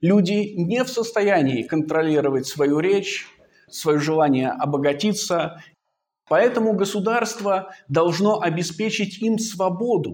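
A man at a high pitch, very slow pace and very even loudness. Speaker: philosophy researcher. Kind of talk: lecture. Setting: seminar. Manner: formal.

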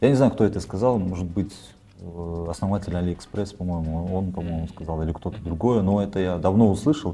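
Very deep and low, a man's somewhat breathy voice has a dark, mellow tone, ordinary pitch variation and a fairly quick pace. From Kyrgyzstan. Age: 30s. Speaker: videomaker and welder. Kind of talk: casual interview.

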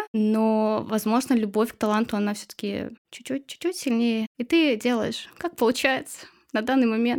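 A woman with an ordinary speaking voice talks at a moderate pace, her fairly high pitch showing ordinary pitch variation. The recording is very clean, with a silent background. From Chuvashia, Russia. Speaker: illustrator and blogger. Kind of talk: casual interview chat.

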